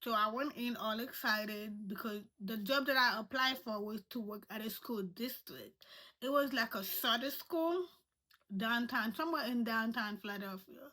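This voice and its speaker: A woman speaks at a moderate pace in a non-native accent, her pitch fairly high with ordinary variation. Her tone is bright and sharp. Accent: non-native accent, noticeable. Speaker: vlogger. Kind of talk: personal storytelling. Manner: halting.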